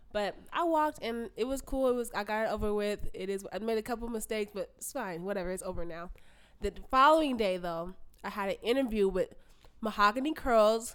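A woman with a plain, everyday voice speaks at a fairly quick pace in a fairly high pitch. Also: ordinary pitch variation. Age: 20s. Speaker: podcast co-host. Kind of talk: casual chat.

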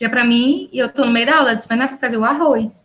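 A woman with a high-pitched voice talks at a fairly quick pace. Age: 20s. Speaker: civil engineering student. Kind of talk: casual chat.

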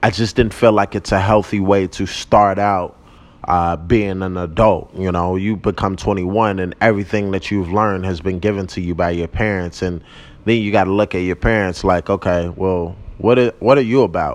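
This man's voice sits very deep and low, with fairly even intonation. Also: moderate pace, quiet background. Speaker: podcast host. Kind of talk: casual monologue. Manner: loud.

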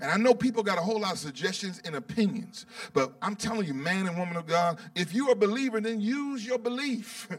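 The speaker sounds animated, talking at a fairly quick pace with lively intonation and hardly any pauses, over noticeable background noise. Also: man, high pitch for a man. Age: 50s. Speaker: bishop preaching. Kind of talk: sermon.

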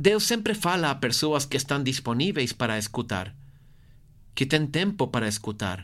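Fairly high male speech with very wide pitch swings, delivered at a moderate pace. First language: Portuguese (speaking Spanish). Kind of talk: guided meditation.

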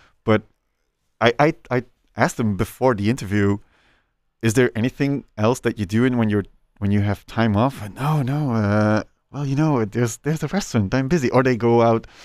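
With a Flemish accent, a man talks at a fairly quick pace with ordinary pitch variation and long, frequent pauses, on a very clean recording with a silent background. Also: medium pitch for a man. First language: Dutch. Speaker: chef and podcast host. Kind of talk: casual interview.

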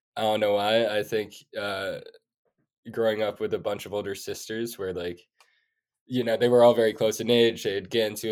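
In an American accent, a man talks at a moderate pace with a fairly low pitch and an ordinary speaking voice. The recording is very clean, with a silent background. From US Northeast, New York City. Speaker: food startup founder. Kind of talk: interview.

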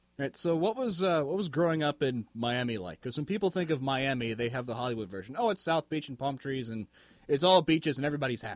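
This man races along at a very fast pace, his intonation lively. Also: fairly high pitch for a man, dry, close sound with no echo. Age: 20s. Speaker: podcast host. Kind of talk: casual interview.

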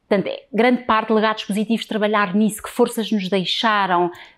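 A woman with a fairly high pitch talks at a fairly quick pace in a monotone, flat intonation. The recording is very clean, with a silent background. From Portugal, Lisbon. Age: 40s. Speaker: transgenerational therapist. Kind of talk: interview.

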